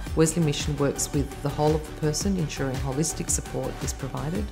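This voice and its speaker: A woman at a very fast pace, with clear music in the background. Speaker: charity staff member. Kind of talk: interview answer. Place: home room.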